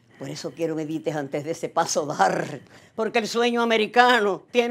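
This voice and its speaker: A woman with a Cuban accent speaks at a moderate pace. Her pitch swings very widely. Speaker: poet and actress. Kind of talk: rhymed poem performed, declaimed with dramatic emphasis. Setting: video message to the Cuban people. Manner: passionate, emotive, rhythmic delivery. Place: studio.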